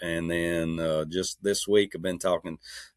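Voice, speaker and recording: A man with a very deep, low pitch speaks at a moderate pace in a relaxed tone, his intonation fairly even. The sound is dry and close, with no echo. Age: 60s. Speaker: Jeep builder and off-road enthusiast. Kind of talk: casual interview chat. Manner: relaxed, conversational with fillers.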